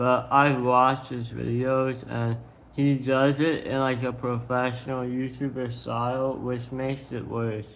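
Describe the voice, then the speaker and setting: A man speaks fairly slowly in a flat monotone, with audible echo in the room. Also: medium pitch for a man. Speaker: streamer. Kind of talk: monologue reading own tweets.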